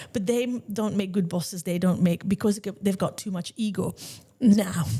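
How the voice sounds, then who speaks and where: A woman's medium-pitched voice has a dark, mellow tone, with fairly even intonation at a moderate pace. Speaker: salon owner and podcast host. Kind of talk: casual chat. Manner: loud.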